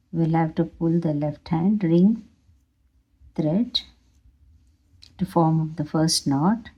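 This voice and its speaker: A woman speaks at a very slow pace with a fairly low pitch and ordinary pitch variation. Her tone is dark, mellow and somewhat breathy. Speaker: craft tutorial creator. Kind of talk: tutorial.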